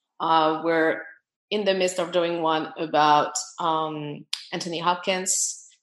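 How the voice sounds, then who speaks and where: In a French accent, a woman talks at a fairly low pitch with monotone, flat intonation. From France. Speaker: film producer. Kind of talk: casual interview chat.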